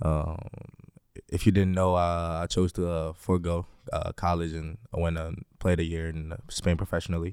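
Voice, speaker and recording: In a very clean recording with a silent background, a man speaks in a very deep, low, monotone voice with flat intonation. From Greece, raised in Milwaukee from age twelve. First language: Greek. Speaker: professional basketball player. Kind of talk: casual chat. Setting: studio.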